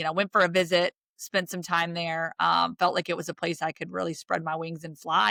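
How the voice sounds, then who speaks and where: With a Southern accent, a woman talks fairly quickly at a fairly low pitch in a bright, sharp tone, recorded very cleanly against a silent background with a dry, close sound and no echo. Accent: Southern, says y'all. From US South, rural Virginia (Roanoke). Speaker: sports broadcaster. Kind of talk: interview conversation. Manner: animated.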